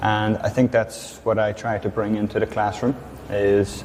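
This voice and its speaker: With a Northern Irish accent, this voice keeps a fairly even intonation over noticeable background noise. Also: man. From Northern Ireland. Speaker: English teacher. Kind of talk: interview.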